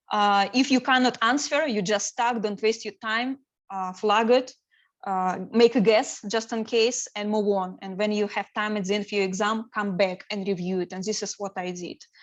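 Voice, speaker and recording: Against a quiet background, a woman with a non-native accent speaks at a fairly high pitch with fairly even intonation. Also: moderate pace. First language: not English. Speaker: certified business analyst sharing exam experience. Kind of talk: presentation to study group. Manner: hesitant, many fillers.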